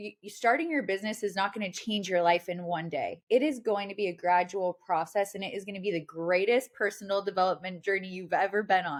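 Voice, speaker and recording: A woman with an American accent has a plain, everyday voice in a medium pitch, with ordinary pitch variation. She talks at a fairly quick pace with hardly any pauses and big swings in loudness. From Washington State, US. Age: 30s. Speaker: digital marketing entrepreneur. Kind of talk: casual interview chat.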